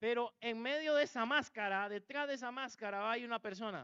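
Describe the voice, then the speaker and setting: At a moderate pace, a man talks in an extremely high pitch. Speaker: pastor. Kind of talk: sermon. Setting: church.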